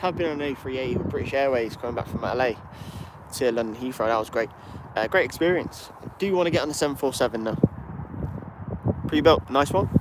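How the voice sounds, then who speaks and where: Over noticeable background noise, a man speaks at medium pitch and a very fast pace. His speech has long, frequent pauses. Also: ordinary pitch variation. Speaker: plane spotting livestreamer. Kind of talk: live stream commentary and chat. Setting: outdoors at airport. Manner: casual, chatty.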